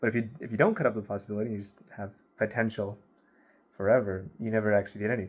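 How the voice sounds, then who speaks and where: Mumbling at a very fast pace, a man with a fairly low voice keeps his intonation fairly even while his loudness swings widely. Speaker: vlogger. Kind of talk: casual monologue to camera. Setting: filming alone to camera at night.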